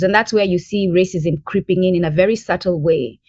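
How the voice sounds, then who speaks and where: This woman speaks with an East African accent. Her pitch variation is ordinary. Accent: unchanged East African. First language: Bantu language (mother tongue). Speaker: language advocate. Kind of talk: podcast interview.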